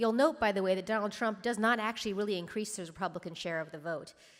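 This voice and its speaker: A woman talks with ordinary pitch variation, the recording very clean and the background silent. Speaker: pollster. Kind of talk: conference talk. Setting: stage with audience. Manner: fast.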